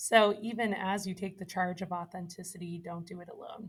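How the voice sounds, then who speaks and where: A woman speaks at a moderate pace with an American accent. Her voice is somewhat breathy. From Massachusetts. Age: 20s. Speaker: church family ministry leader. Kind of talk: podcast interview. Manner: animated.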